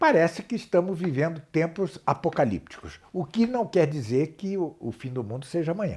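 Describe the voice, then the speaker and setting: With lively intonation and a high pitch for a man, he speaks at a moderate pace with hardly any pauses. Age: 60s. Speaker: professor of philosophy and theology. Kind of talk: interview. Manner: halting.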